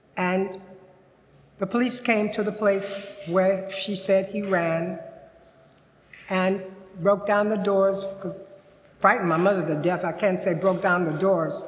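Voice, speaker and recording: A woman's medium-pitched, monotone, flat delivery broken by long, frequent pauses, with audible room echo and noticeable background noise. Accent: American. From US South, Louisiana. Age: 80s+. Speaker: senior storyteller. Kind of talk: personal narrative storytelling. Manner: halting at times.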